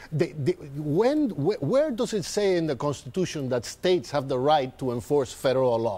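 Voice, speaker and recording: A man with a strong Spanish accent speaks at a moderate pace, hardly pausing at all. His fairly high voice has a dark, mellow tone and lively intonation. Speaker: political commentator. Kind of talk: heated debate. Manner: animated.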